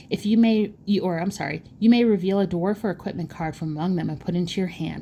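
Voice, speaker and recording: Speaking at a very fast pace, a woman uses vocal fry and ordinary pitch variation. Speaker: card game content creator. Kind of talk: pack opening video.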